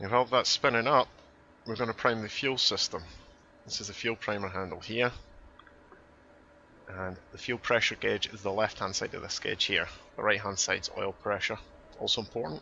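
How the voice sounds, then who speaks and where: A man with a Scottish accent speaks with fairly even intonation and long, frequent pauses. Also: medium pitch for a man, fairly quick pace. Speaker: flight sim tutorial maker. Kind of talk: tutorial. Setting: voice over on screen recording.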